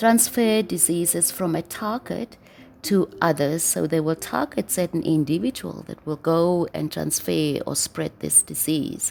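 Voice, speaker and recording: The recording is very clean, with a silent background. A woman with a non-native accent speaks at a fairly slow pace. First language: not English. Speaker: spiritual video blogger. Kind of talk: reading aloud with commentary. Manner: halting.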